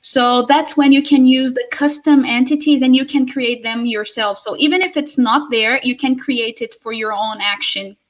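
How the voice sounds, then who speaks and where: A woman speaks in a Portuguese accent at high pitch. She has ordinary pitch variation and hardly any pauses. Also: moderate pace. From Brazil. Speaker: conference speaker. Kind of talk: Q&A session. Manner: halting.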